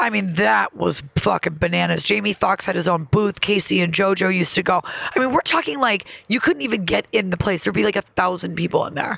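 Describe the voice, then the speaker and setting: Amid noticeable background noise, a woman with an American accent talks at a fairly quick pace in an animated tone. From upstate New York (Elmira). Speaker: comedian. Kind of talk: casual chat.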